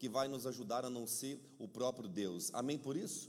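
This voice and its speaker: A man speaks at a fairly slow pace in an animated tone with lively intonation. Audible room echo surrounds his voice. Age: middle-aged. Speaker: pastor. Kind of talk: sermon. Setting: church.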